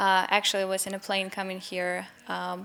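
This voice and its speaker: A woman speaks in a Ukrainian accent at a moderate pace and medium pitch. Noticeable background noise can be heard. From Ukraine. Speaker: member of a Ukraine support organization. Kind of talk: interview. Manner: halting, with fillers.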